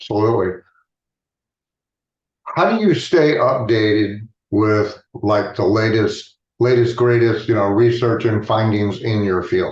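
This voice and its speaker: A man speaks at a fairly slow pace with long, frequent pauses, his pitch medium. His loudness stays very even, his intonation fairly even, and his voice is somewhat breathy. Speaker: hypnotist. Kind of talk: interview host, casual.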